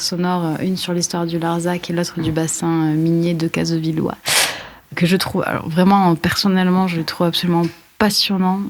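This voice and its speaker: Against noticeable background noise, a woman speaks at a moderate pace in a fairly low, monotone voice. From France, Aveyron. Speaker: guest interviewer, writer. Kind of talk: interview.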